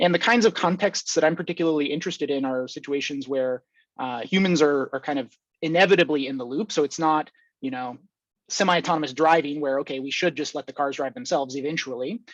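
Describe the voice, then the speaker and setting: Against a quiet background, a man with a fairly high pitch speaks at a very fast pace in a dry, close sound with no echo. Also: ordinary pitch variation. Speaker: academic researcher in control theory. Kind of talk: conference talk.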